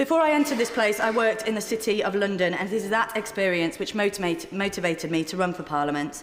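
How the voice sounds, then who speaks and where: A woman's very fast, lively speech in a Yorkshire accent with hardly any pauses, over noticeable background noise. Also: medium pitch for a woman. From northern England, Sheffield. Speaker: member of parliament. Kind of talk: parliamentary speech. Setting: parliament chamber. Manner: formal.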